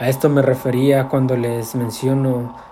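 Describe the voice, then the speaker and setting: Over noticeable background noise, a man speaks at medium pitch in a monotone, flat way. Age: 30s. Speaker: lay preacher. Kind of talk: testimony. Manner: halting.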